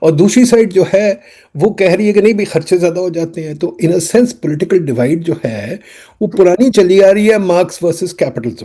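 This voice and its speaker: Dark and mellow, a man's high-pitched voice moves at a moderate pace. His pitch varies in an ordinary way. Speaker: economist, interview host. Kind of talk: discussion interview.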